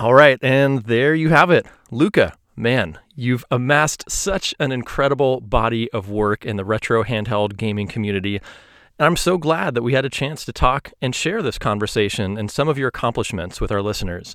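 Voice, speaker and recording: In an ordinary speaking voice, a man talks at a moderate pace with hardly any pauses, lively intonation and medium pitch, on a very clean recording with a silent background. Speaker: podcast host. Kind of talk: interview.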